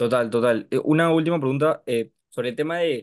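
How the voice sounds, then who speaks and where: A man speaks with fairly even intonation. The background stays quiet. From Peru. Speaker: mentoring member; interviewer, host. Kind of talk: Q&A question. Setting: video call. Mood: friendly, relaxed. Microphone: video call.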